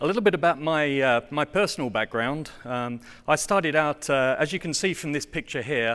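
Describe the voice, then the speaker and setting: A man with an English accent speaks at a moderate pace. The recording is very clean, with a silent background. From England. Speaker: software test automation engineer. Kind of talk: conference presentation. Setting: stage with audience. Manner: hesitant, many fillers.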